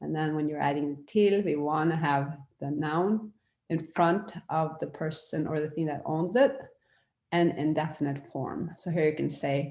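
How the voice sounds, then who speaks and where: With a Norwegian accent, a woman speaks at a fairly slow pace in a very deep, low pitch and a dark, mellow tone, with audible room echo in the space. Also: ordinary pitch variation. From Norway. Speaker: language teacher. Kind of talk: online lecture. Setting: virtual classroom. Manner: casual with hesitations.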